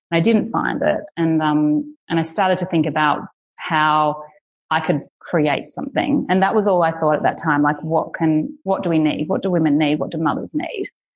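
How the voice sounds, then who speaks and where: A woman's fairly low voice at a moderate pace, with ordinary pitch variation, very even loudness and a quiet background. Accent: Australian. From Australia. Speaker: women's space founder and doula. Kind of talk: casual interview.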